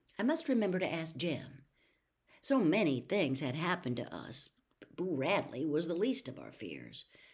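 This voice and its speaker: A woman's fairly low voice at a moderate pace, with very wide pitch swings, big swings in loudness and vocal fry. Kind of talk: audiobook reading of a novel. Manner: measured, even-paced narration with a calm storyteller's cadence.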